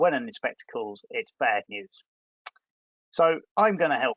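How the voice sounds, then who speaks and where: This is a man speaking. He has an English accent. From England. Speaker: environmental health officer. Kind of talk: webinar presentation.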